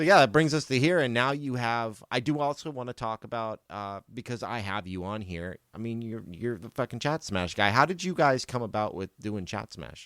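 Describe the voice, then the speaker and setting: With a plain, everyday voice, a man speaks at a moderate pace and medium pitch, his intonation lively and his loudness swinging widely, in a dry, close, very clean recording with a silent background. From United States. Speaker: podcast host. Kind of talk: casual chat.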